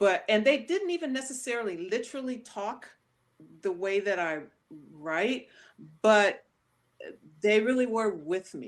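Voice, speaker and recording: Speaking with an American accent, a woman uses a fairly high pitch with very wide pitch swings, a fairly slow pace, and long, frequent pauses. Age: 60s. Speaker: author and performance artist. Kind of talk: interview conversation.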